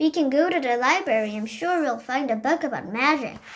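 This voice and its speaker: Putting on a character voice, a woman talks at a fairly quick pace with lively intonation and a high pitch. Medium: read story. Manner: warm, gentle.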